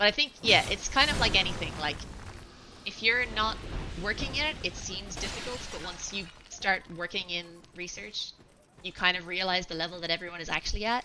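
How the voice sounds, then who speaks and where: A medium-pitched woman's voice in an Irish accent, fairly quick and lively in intonation, with long, frequent pauses, big swings in loudness, and noticeable background noise. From Ireland. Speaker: video game streamer. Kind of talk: casual chat while gaming on a live stream.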